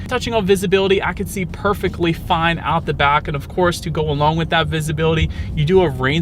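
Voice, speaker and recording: A man's fairly high voice at a very fast pace, with music in the background. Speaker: car reviewer. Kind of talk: car review while driving. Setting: in a car. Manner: loud.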